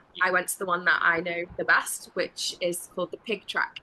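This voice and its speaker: Someone with a Welsh accent speaks at a fairly quick pace. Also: woman. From Wales. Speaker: travel interview guest, full-time traveler. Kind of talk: casual interview chat.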